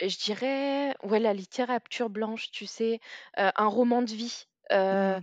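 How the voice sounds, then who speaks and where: A woman speaks at a very slow pace with a fairly high pitch, her dry, close sound carrying no echo over a quiet background. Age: 30s. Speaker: author and book influencer. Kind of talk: casual chat. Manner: animated.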